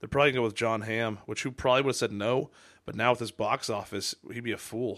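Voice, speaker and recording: On a very clean recording with a silent background, a man of medium pitch speaks very fast in a monotone, flat intonation. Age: 30s. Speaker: podcast host. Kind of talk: casual chat.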